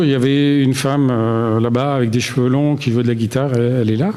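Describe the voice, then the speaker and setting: A man talks with ordinary pitch variation. Audible room echo and noticeable background noise surround him. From Alsace, Strasbourg. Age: 60s. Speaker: retired engineer giving church testimony. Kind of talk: testimony. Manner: hesitant, many fillers.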